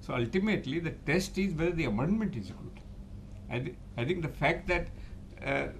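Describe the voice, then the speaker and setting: At a fairly quick pace, a man with a fairly high pitch and vocal fry leaves long, frequent pauses, his voice carrying audible room echo. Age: 80s+. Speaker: chartered accountant and tax expert. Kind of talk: interview.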